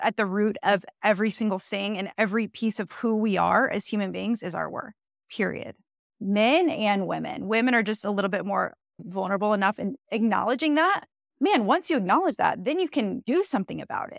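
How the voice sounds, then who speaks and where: The voice has vocal fry, ordinary pitch variation and a fairly quick pace. The sound is dry and close, with no echo. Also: woman, fairly high pitch for a woman. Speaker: leadership coach. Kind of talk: interview.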